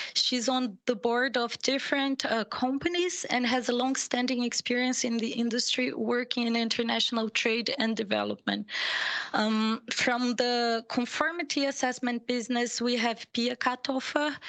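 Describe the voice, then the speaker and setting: Through noticeable background noise, a woman with a German accent and a high pitch speaks at a moderate pace, with very even loudness and fairly even intonation. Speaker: panel moderator. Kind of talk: panel moderation. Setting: video call. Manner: formal.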